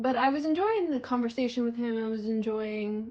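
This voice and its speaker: A woman speaks at a fairly quick pace. Her voice is fairly high and somewhat breathy. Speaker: beauty vlogger. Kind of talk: casual chat.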